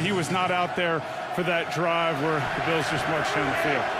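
A man with a high-pitched voice talks at a moderate pace over noticeable background noise. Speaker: sideline reporter. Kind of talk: live sideline report. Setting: outdoors on the field in freezing cold.

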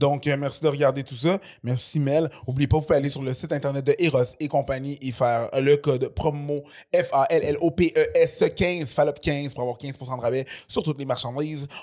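A man with a Quebec accent speaks with a fairly high pitch and fairly even intonation. The background is quiet. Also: moderate pace. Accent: Québécois French. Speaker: podcast host; comedian. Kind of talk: casual chat; read-out ad. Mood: relaxed, joking. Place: studio. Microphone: studio mic.

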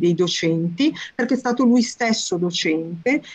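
A woman speaks with a quiet background behind her. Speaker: course organizer. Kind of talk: introduction. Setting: video call. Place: home room. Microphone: video call.

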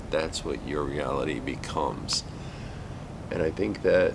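Amid noticeable background noise, a man with a very deep, low pitch speaks at a moderate pace. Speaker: paranormal video creator. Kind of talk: casual vlog chat. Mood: uneasy, reflective.

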